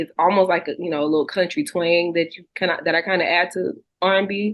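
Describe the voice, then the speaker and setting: The speaker talks at a very fast pace in a Southern US accent. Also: woman. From Texas. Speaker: singer and songwriter. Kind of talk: interview. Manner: casual, many fillers.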